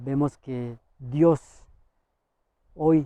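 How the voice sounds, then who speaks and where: This man's fairly high voice has a dark, mellow tone and fairly even intonation, captured with a dry, close sound and no echo. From Misak people, Cauca, Colombia. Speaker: farmer and public health worker. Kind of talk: interview answer. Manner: hesitant, many fillers.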